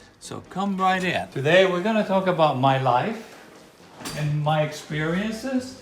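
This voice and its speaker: Over music in the background, a man speaks at a high pitch with lively intonation and a fairly slow pace. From Puerto Rico. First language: Spanish. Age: 80s+. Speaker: Vietnam War veteran. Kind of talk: casual talk to camera.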